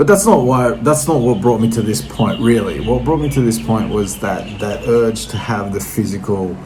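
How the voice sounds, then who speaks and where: A medium-pitched man in an Australian accent, lively intonation at a moderate pace with hardly any pauses, plus audible room echo and noticeable background noise. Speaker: vinyl record collector vlogger. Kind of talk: casual monologue to camera. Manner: hesitant, many fillers.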